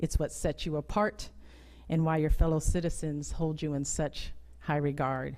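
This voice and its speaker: A woman with an American accent speaks at a moderate pace in a very deep, low voice with a dark, mellow tone and ordinary pitch variation, on a very clean recording with a silent background. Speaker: US Air Force lieutenant general giving a keynote speech. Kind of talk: formal commemorative speech at a ceremony. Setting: auditorium with PA system, live ceremony audience.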